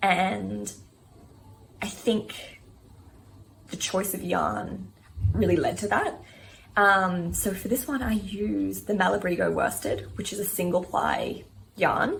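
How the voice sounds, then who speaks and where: A woman with an Australian accent talks at a very slow pace, leaving long, frequent pauses. Light background noise is present. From Australia, Sydney. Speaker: knitting vlogger. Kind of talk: casual show-and-tell vlog. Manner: casual, with frequent filler ums. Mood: calm, fond. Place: home room. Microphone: quiet audio from a filming error; phone near.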